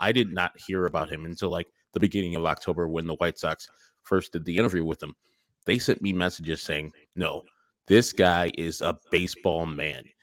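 A man's very deep, low voice at a moderate pace, with fairly even intonation and a dry, close sound with no echo. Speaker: baseball podcaster. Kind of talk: interview. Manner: casual, conversational.

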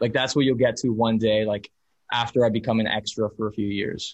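A man with an American accent, a normal speaking voice, medium pitch and a moderate pace. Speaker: actor. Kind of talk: interview.

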